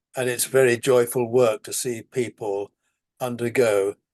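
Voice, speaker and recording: In a dry, close recording with no echo, a man speaks at a medium pitch and a fairly slow pace with monotone, flat intonation. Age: 80s+. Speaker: spiritual rescue worker and author. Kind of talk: casual chat.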